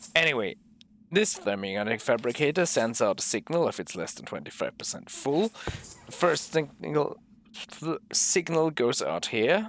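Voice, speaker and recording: A man's fairly high voice with vocal fry, very wide pitch swings and a moderate pace. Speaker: gaming video creator. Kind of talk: gameplay walkthrough commentary. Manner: halting, self-correcting.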